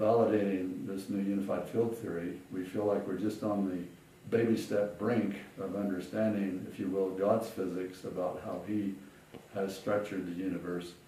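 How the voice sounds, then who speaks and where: Speaking at a moderate pace in an American accent, a man with a fairly low pitch keeps a monotone, flat delivery amid noticeable background noise and audible room echo. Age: 70s. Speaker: physicist, author. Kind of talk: interview. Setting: at home. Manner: hesitant, with fillers.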